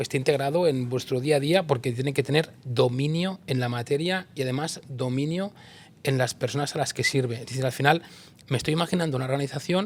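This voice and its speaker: Fairly high in pitch, a man talks in a normal speaking voice at a fairly quick pace with fairly even intonation. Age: 50s. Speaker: interviewer, people and organisation consultant. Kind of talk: interview conversation.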